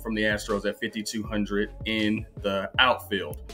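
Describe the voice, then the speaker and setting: A man talks while music sits faintly in the background. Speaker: fantasy sports analyst. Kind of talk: commentary. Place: home room. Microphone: webcam.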